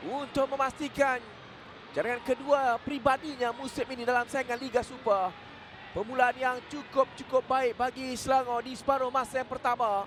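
An excited man with a Malaysian accent speaks at an extremely high pitch and a moderate pace, with noticeable background noise. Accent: Malaysian Malay. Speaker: football commentator. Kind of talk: live sports commentary. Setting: stadium. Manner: excited bursts at goals, clipped phrases.

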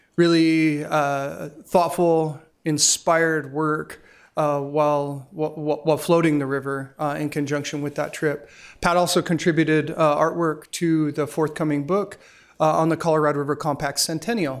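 The man's intonation stays monotone and flat. His pace is moderate. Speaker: event host introducing a speaker. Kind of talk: speaker introduction. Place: hall. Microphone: podium.

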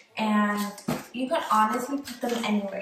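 Light background noise and audible room echo are present. A woman talks at a moderate pace. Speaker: DIY vlogger. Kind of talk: casual tutorial chat. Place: bathroom. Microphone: phone near.

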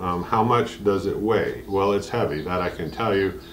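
A man with an unremarkable speaking voice talks at a moderate pace and a fairly low pitch. His intonation is fairly even, with light background noise. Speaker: DIY tool reviewer. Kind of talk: casual product review and Q&A. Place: garage. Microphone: camera far.

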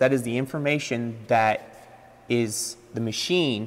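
His pitch is medium and his intonation fairly even as this man talks. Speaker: machine trainer. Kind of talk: training seminar. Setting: in-person seminar near machine. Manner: explanatory, conversational. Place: workshop.

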